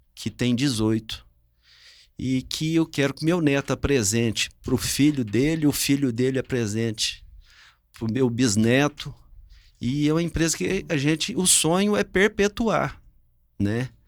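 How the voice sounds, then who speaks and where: Lively intonation at a fairly slow pace, with long, frequent pauses, on a very clean recording with a silent background. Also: man, medium pitch for a man. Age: 60s. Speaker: business owner. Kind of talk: family podcast conversation.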